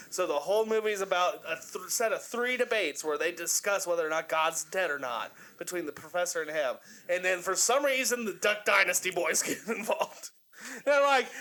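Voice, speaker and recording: A man speaks in a raised, projected voice with a bright, sharp, animated tone. His pitch swings very widely while his pace stays moderate. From Kentucky. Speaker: podcast host. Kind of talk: casual chat.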